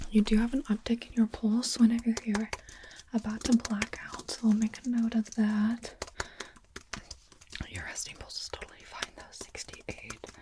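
A soft-spoken woman with a calm tone talks at a moderate pace in a monotone, flat intonation, with long, frequent pauses and noticeable background noise. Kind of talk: soft-spoken roleplay. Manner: soft, calm ASMR medic voice.

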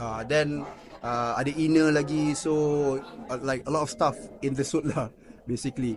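The delivery moves at a fairly slow pace with fairly even intonation. Long, frequent pauses break it up. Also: man, fairly high pitch for a man. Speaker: actor. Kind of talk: interview. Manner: casual code-switching with fillers.

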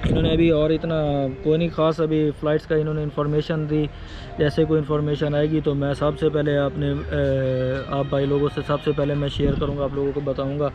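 Faint music in the background, dry sound with no echo, and a man speaking at a moderate pace. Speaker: travel vlogger. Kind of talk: casual vlog chat. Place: cafe. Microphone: phone near.

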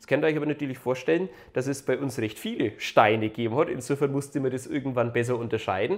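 Very rapid delivery from a man, with a quiet background. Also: ordinary pitch variation. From Upper Franconia, Germany. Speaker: local history YouTuber. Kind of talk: educational video narration. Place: home room. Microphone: lapel.

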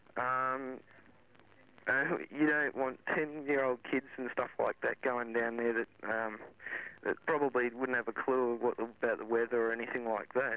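A man at a moderate pace, with ordinary pitch variation and a dry sound with no echo. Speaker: radio caller. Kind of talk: interview answer. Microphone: phone line.

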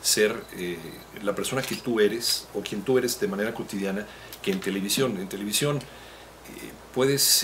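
Over light background noise, a man talks at a moderate pace in a plain, everyday voice with a fairly low pitch. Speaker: radio announcer. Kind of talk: interview answer. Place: office. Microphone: handheld.

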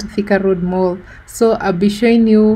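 The voice has a dark, mellow tone, sounds somewhat breathy, and keeps a fairly slow pace with fairly even intonation. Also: woman. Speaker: vlogger. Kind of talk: casual vlog chat. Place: car.

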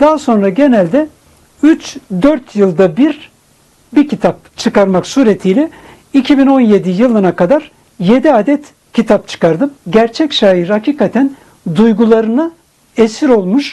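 This man's voice is extremely high in pitch yet dark and mellow in tone. His intonation is lively. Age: 60s. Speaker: poet; retired provincial director, poetry association president. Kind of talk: interview answer.

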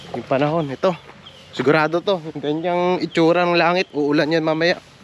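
A man at a fairly quick pace, dry sound with no echo, over light background noise. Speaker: camping vlogger. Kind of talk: casual vlog chat. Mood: relaxed, cheerful. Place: waterside. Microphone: phone near.

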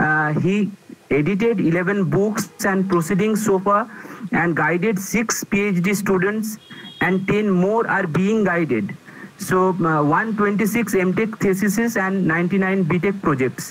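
Speaking at a very slow pace, a man with a high pitch keeps a fairly even intonation and very even loudness. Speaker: speaker. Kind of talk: formal speaker introduction. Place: home room. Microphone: earbuds.

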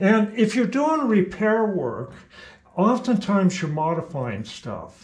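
Speech comes at a very slow rate. Its pitch rises and falls in an ordinary way. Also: man. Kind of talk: tutorial. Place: workshop. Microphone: camera far.

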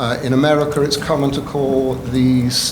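A man with an English accent speaks at a fairly slow pace and a fairly high pitch. Noticeable background noise and audible room echo are present. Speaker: rabbi. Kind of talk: testimony. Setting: public hearing. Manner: formal.

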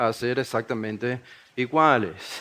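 Using a coastal Ecuadorian accent, a man speaks at a medium pitch with ordinary pitch variation. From Ecuador, Guayaquil. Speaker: preacher. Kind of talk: sermon-style workshop talk. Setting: conference workshop with live audience.

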